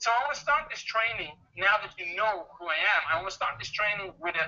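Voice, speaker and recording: The man's intonation is lively. He talks at a fairly quick pace. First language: not English. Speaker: online marketing trainer. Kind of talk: webinar presentation.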